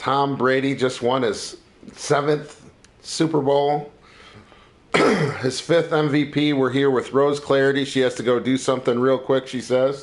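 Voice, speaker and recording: A man takes a fairly slow pace as background noise remains noticeable. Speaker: podcast host. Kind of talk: casual chat. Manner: animated.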